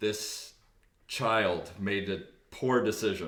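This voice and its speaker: A man performs a put-on character voice, loud, booming and resonant at a fairly low pitch. A slight echo hangs on the sound. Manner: commanding, oratorical.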